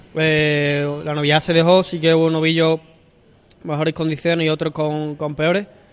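A man talks with a fairly high pitch at a moderate pace. His intonation is monotone and flat. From Seville, Andalusia. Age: 20s. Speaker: novice bullfighter. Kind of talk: interview. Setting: restaurant.

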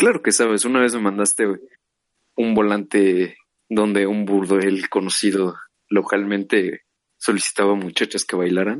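Speaking with a Mexican accent, a man delivers flat, monotone lines at a fairly slow pace and a fairly low pitch, leaving long, frequent pauses. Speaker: podcast co-host. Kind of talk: casual chat.

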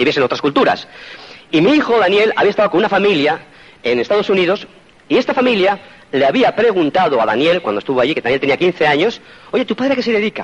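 A man with a Spanish accent speaks very fast in a high pitch, his tone animated and his pitch swinging very widely. His loudness stays very even over noticeable background noise. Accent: Spain Spanish. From Spain. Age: 50s. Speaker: motivational speaker. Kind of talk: motivational talk.

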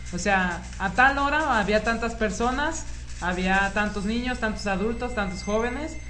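With music in the background and audible room echo, a voice with a Mexican accent speaks at a fairly slow pace with ordinary pitch variation. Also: woman, medium pitch for a woman. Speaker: podcast co-host. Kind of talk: casual chat.

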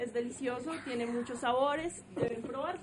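A woman speaks in a high pitch. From Bogotá, Colombia. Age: 20s. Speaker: guest. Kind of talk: children's radio show chat.

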